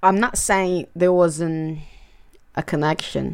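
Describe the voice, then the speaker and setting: With a Portuguese accent, a woman is talking. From Brazil, Fortaleza (northeast). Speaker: mother, immigrant sharing personal story. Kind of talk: personal testimony.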